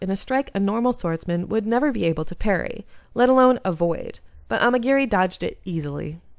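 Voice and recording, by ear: Reading aloud in a natural voice, the speaker lets the intonation rise and fall in a lively way.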